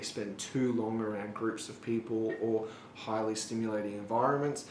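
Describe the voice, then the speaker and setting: Talking with an Australian accent, a man speaks at a moderate pace and a medium pitch with monotone, flat intonation. There is audible room echo and noticeable background noise. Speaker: author and YouTuber. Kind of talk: casual monologue vlog.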